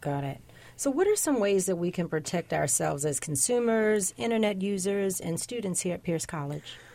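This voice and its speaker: With lively intonation and a dark, mellow tone, a woman speaks at a medium pitch and a moderate pace. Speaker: radio host. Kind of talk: news show interview. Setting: studio.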